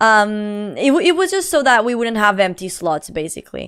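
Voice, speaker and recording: A woman with a Portuguese accent and very wide pitch swings, on a very clean recording with a silent background. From Portugal. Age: 20s. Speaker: live streamer. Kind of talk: casual chat. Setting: live stream.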